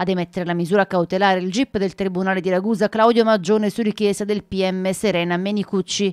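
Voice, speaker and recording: A woman speaks very fast at a medium pitch in a flat monotone, with hardly any pauses. The sound is dry and close with no echo, and the recording is very clean, with a silent background. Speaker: local news reporter. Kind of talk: news reading. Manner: formal, even and measured, in the flat, impersonal tone of a broadcast crime report.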